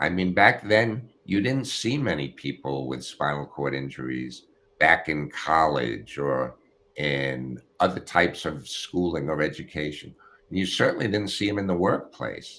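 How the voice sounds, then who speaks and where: A man with an American accent speaks at a very deep, low pitch with vocal fry and a bright, sharp tone. His pace is fairly slow and his intonation lively. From United States. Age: 70s. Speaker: retired prosecutor. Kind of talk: interview.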